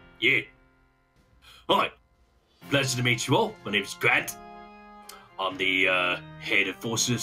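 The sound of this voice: A man puts on a gravelly character voice at a fairly low pitch and a moderate pace. Faint music plays in the background.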